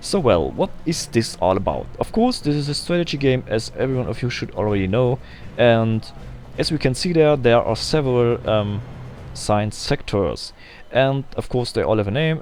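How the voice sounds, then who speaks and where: A man speaks with a non-native accent. Music plays in the background. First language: German. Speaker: gaming video creator. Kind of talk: gameplay tutorial. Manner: halting, frequent ums.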